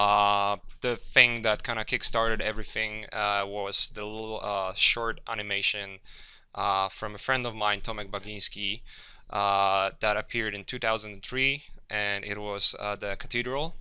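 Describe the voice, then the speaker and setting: In a Polish accent, a man with a fairly low pitch and a bright, sharp tone speaks at a moderate pace in a monotone, flat intonation. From Poland, Gdynia. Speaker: concept artist. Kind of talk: workshop lecture. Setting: classroom with audience. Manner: halting, many fillers and repeats.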